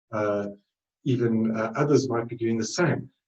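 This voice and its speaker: The man has a dark, mellow tone and a South African accent. His intonation is monotone and flat. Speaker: trading webinar presenter. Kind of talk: webinar presentation. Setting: live webinar. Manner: halting, many fillers.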